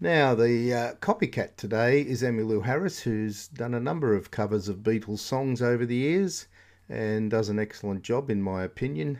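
At a moderate pace, a man talks in a normal speaking voice with a medium pitch and ordinary pitch variation. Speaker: radio host. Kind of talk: comic radio DJ patter: chatty music-show links, running gags and dad jokes between tracks. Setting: radio studio.

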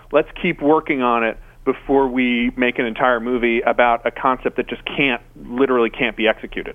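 A man with a plain, everyday voice talks at a fairly quick pace, his medium pitch held in fairly even intonation. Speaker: digital director and co-host. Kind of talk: casual chat. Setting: phone call.

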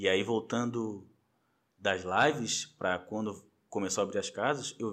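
A man speaks in a plain, everyday voice at a fairly low pitch with ordinary pitch variation. The recording is very clean, with a silent background. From Florianópolis, Brazil. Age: 30s. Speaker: samba and pagode social media page runner. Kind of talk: casual chat.

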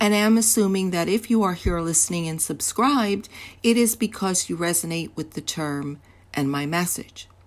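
On a very clean recording with a silent background, a woman uses a normal speaking voice, fairly low in pitch, with lively intonation at a fairly slow pace. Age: 60s. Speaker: podcast host, confidence coach. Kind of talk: solo podcast monologue.

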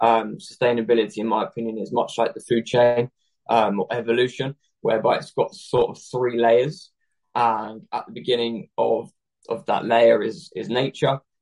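A man with a British accent speaks at a moderate pace and medium pitch, with ordinary pitch variation, big swings in loudness, and a dry, close sound with no echo. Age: 20s. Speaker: fashion entrepreneur. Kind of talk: interview.

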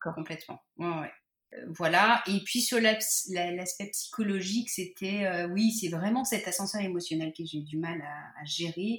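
Her loudness swinging widely, a woman speaks at a fairly slow pace, medium in pitch with ordinary pitch variation. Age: 40s. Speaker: patient sharing fertility story. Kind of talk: testimony. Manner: halting, many hesitations.

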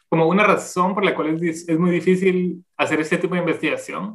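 A man with a Guatemalan accent speaks at a moderate pace in a high pitch. His bright, sharp tone stays monotone and flat. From Guatemala City. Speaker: anthropologist and demographer. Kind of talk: interview. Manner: halting.

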